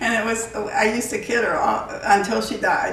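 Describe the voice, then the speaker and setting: Audible room echo surrounds a woman's voice. She has an American accent and keeps a moderate pace. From West Virginia, Bluefield; later Florida. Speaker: pastor's wife. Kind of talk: interview storytelling.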